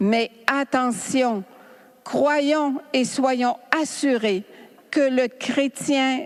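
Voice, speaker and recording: With noticeable background noise behind her, a woman talks at a very slow pace in a high pitch with ordinary variation. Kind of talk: spiritual teaching talk. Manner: animated.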